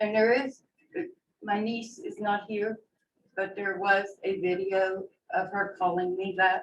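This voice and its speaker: Monotone, flat intonation at a fairly slow pace, with long, frequent pauses. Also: woman, medium pitch for a woman. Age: 60s. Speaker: family member speaking at public meeting. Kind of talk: sworn testimony. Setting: county commission meeting.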